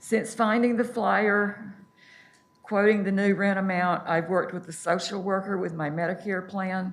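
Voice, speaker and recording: A woman with fairly even intonation and audible room echo. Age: 70s. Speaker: public commenter. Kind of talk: public testimony. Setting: city council meeting.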